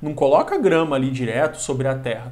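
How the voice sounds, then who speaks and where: Somewhat breathy, a man speaks with audible room echo around him. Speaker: geography teacher. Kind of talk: lecture. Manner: animated.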